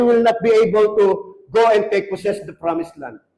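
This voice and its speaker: A man speaks in an animated tone. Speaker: pastor. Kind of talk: sermon.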